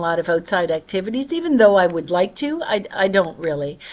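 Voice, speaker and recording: Her voice sits at a medium pitch, and the woman's pitch varies in an ordinary way. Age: 60s. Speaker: vlogger. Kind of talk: casual personal monologue. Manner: conversational, halting with fillers.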